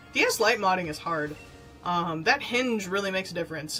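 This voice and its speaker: A woman of medium pitch speaks at a very fast pace with noticeable background noise behind her. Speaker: streamer and convention panel moderator. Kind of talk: casual live stream chat. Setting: live stream. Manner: rambling, filler-heavy.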